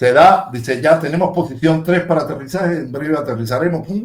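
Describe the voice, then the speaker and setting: A man's somewhat breathy voice keeps a moderate pace and shows ordinary pitch variation. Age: 60s. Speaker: aviation technician and show co-host. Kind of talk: casual chat. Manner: animated.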